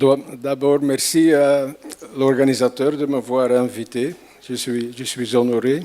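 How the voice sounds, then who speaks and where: In an Antwerp accent, a man speaks very slowly at a medium pitch with monotone, flat intonation against noticeable background noise. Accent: Antwerp Flemish accent in French. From Belgium, Antwerp (Flanders). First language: Flemish (Dutch) (speaking French). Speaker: conference speaker, math visualization artist. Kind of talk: lecture. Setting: stage with audience. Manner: halting, with repetitions.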